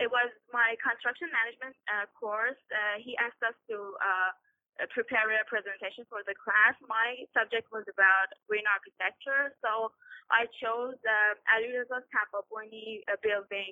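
A woman with a Persian accent speaks at a moderate pace in a fairly high pitch. Her intonation is flat and monotone. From Iran. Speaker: graduate student. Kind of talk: interview. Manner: halting, many fillers.

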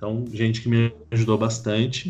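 In a São Paulo accent, the speaker talks at a fairly quick pace in a somewhat breathy, monotone voice with flat intonation. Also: man. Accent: Paulistano Brazilian Portuguese. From São Paulo city, Jaraguá area. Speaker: book translator and lecturer. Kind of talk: casual interview chat.

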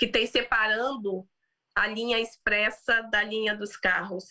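At a fairly slow pace, a woman speaks in a fairly high voice with a bright, sharp tone. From Brazil. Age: 30s. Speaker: business executive and founder. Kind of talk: interview about personal story.

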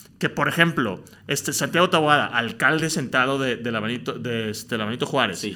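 A man with a bright, sharp tone at a moderate pace. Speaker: podcast host. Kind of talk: casual interview. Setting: studio. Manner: halting.

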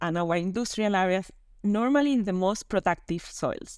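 A woman at medium pitch, moderate pace and lively intonation, in a dry, close sound with no echo. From Spain, Canary Islands. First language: Spanish. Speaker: land and water officer at an international organization. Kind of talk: interview.

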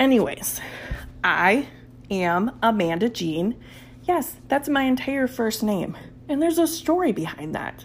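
A woman with an Upper Midwest accent speaks at a fairly high pitch and a fairly slow pace, leaving long, frequent pauses. Her pitch swings very widely, and music plays in the background. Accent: Upper Midwest (Minnesota). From southeastern Minnesota, Red Wing. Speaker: podcast host. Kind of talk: casual solo podcast monologue. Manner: animated.

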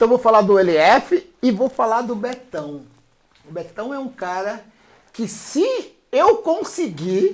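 A man's high-pitched voice at a very slow pace, with very wide pitch swings and big swings in loudness. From São Paulo, Brazil. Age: 50s. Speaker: DJ and rapper. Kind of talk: casual interview.

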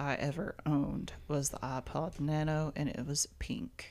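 A woman speaks with a Southern US accent. Her pitch is very deep and low, and her pace is fairly slow. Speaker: podcast co-host. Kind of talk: casual chat.

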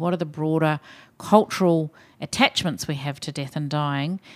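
A woman with a New Zealand accent speaks at a very deep, low pitch and a fairly quick pace with ordinary pitch variation in a very clean recording with a silent background. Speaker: hospital chief executive. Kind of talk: casual interview.

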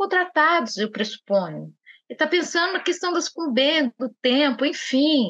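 Extremely high in pitch, a woman's voice has a bright, sharp tone and lively intonation. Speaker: judge. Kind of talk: podcast interview.

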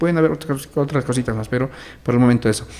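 A man at medium pitch, going at a very fast pace. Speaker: educator and social communicator. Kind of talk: interview.

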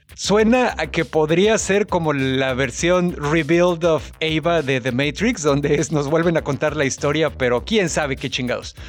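A man with a Mexican accent speaks at a fairly slow pace with hardly any pauses. His pitch is fairly high, with ordinary variation. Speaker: podcast co-host. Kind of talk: casual chat.

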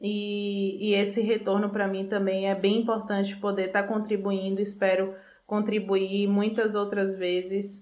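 A woman talks at a fairly slow pace and a medium pitch. The audible room echo comes with noticeable background noise. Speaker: food engineer. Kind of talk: interview.

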